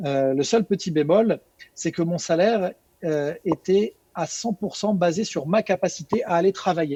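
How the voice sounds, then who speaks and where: A man speaks at a high pitch with ordinary pitch variation and a dark, mellow tone. His pace is fairly slow, and the sound is dry and close with no echo. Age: 40s. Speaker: network marketing distributor. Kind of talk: webinar presentation. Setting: online webinar with screen share.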